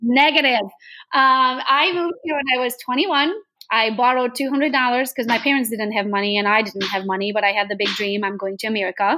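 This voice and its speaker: A woman at a very fast pace, high-pitched, in a bright, sharp tone with ordinary pitch variation. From Transylvania, Romania (Hungarian). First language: Hungarian. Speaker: real estate agent. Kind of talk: podcast interview.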